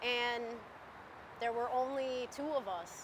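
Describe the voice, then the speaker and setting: A woman's raised, projected voice, high in pitch, with fairly even intonation. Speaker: railcar repair worker. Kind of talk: interview testimony. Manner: loud.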